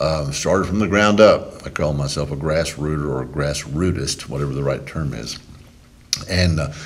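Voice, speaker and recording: A man with a Texan accent, very deep and low in pitch, at a moderate pace with ordinary pitch variation, amid noticeable background noise and audible room echo. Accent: Texan Southern US. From Texas, Brazoria County near Houston. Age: 60s. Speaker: politician. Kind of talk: interview.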